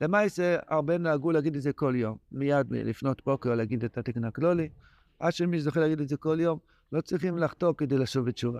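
Against a quiet background with a dry, close sound and no echo, a man talks at a fairly quick pace and fairly high pitch with ordinary pitch variation. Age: 60s. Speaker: rabbi teaching Torah text. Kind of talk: lecture. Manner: animated.

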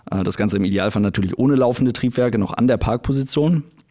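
In a dark, mellow tone, a man talks at a very fast pace with ordinary pitch variation. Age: 20s. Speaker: airline pilot and YouTuber. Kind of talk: casual interview chat.

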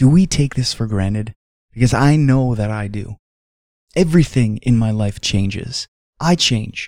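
A plain, everyday voice at a moderate pace, with ordinary pitch variation and a dry, close sound with no echo. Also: man, medium pitch for a man. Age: 30s. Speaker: devotional podcast host. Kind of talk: devotional reflection.

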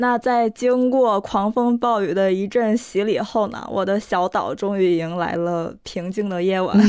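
At a fairly slow pace and with hardly any pauses, a woman speaks at a medium pitch with ordinary pitch variation. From Northeast China. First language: Korean (speaking Chinese). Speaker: podcast co-host. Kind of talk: casual chat; scripted narration.

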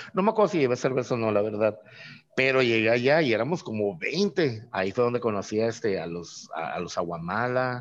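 Lively intonation from a man with a plain, everyday voice, at a fairly quick pace. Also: medium pitch for a man. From Mexico, Tijuana. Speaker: craft brewer. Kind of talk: casual interview.

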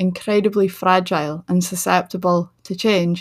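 The very clean recording, with a silent background, captures a woman with a Shetland accent and fairly even intonation. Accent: Shetland Scottish. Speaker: podcast host, writer and tour guide. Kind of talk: solo podcast talk.

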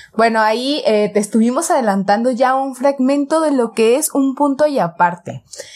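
A woman's high-pitched voice with a Mexican accent, lively intonation and a moderate pace. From Mexico, Jalisco (Guadalajara area). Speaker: podcast co-host. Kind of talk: casual chat.

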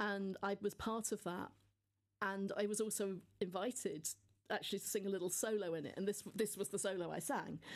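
In a southern English accent, a woman talks at a fairly quick pace and medium pitch with fairly even intonation against a quiet background. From Devon, England. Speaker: nun and university chaplain. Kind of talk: interview.

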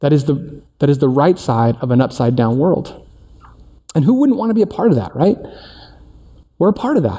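At a moderate pace, a somewhat breathy man speaks at a fairly high pitch with very wide swings in pitch, leaving long, frequent pauses. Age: 40s. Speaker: teaching pastor. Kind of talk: sermon. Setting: church service in performing arts center. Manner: casual, conversational.

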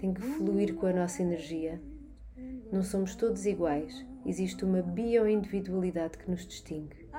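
A woman with a Lisbon accent speaks at a fairly slow pace over noticeable background noise, with audible room echo. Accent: European Portuguese, Lisbon area. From Portugal, Barreiro (Lisbon south bank). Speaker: macrobiotics and nutrition coach. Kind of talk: personal introduction monologue. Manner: hesitant, many filler sounds.

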